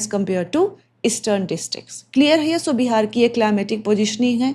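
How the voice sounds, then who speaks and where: A woman speaks at a fairly high pitch with lively intonation, a dark, mellow tone and a somewhat breathy quality. The recording is very clean, with a silent background. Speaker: exam coaching teacher. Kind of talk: lecture. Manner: code-switching Hindi and English.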